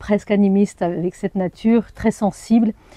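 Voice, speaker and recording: The speaker has an Arabic accent and a dark, mellow tone, with monotone, flat intonation. The pace is moderate and the sound is dry and close with no echo. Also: woman. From France, Perche region (Nogent-le-Rotrou). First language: Arabic (speaking French). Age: 40s. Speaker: journalist and anthropologist. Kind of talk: personal interview testimony. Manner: hesitant, many fillers.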